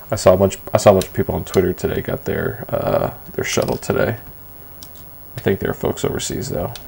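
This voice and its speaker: Someone speaks at a very fast pace over noticeable background noise. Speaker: livestreamer. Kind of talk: casual chat. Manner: soft-spoken. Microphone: too quiet, gain raised.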